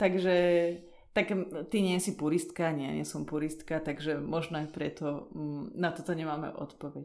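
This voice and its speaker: With fairly even intonation, a woman speaks at a very deep, low pitch. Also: moderate pace. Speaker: podcast host. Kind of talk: casual interview. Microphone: poor acoustics.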